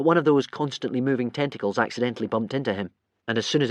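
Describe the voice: Plain reading aloud, ordinary pitch variation, and a quiet background.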